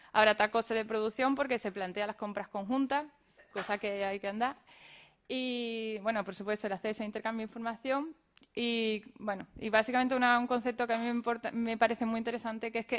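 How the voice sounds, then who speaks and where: A woman talks at a fairly quick pace with a fairly high pitch. Her intonation is monotone and flat. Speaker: craft brewery cooperative representative. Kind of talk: round-table presentation. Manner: fast; halting.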